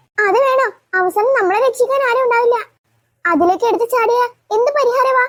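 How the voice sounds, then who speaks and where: A woman's squeaky, cartoonish character voice, extremely high in pitch, at a moderate pace. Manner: whiny, hesitant.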